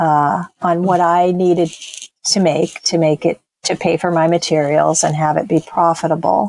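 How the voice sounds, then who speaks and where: An unremarkable speaking voice from a woman, fairly low in pitch and fairly slow in pace, with a dry, close sound and no echo. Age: 60s. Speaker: textile artist and small business owner. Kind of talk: interview.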